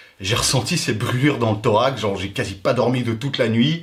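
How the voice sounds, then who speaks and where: The man's voice is loud and moves at a fairly quick pace. Noticeable background noise sits behind it. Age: 30s. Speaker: YouTuber. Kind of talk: personal vlog storytelling. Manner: fast.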